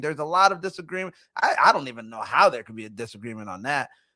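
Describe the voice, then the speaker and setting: The voice is raised and projected, with a bright, sharp tone. The recording is very clean, with a silent background. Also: man. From immigrant, grew up in Philadelphia. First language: not English (English was third language). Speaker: show host and marketing firm owner. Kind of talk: casual commentary monologue.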